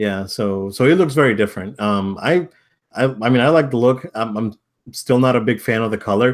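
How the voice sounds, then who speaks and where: On a very clean recording with a silent background, a man talks at medium pitch with ordinary pitch variation. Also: fairly quick pace. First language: not English. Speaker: podcast co-host. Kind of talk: casual chat.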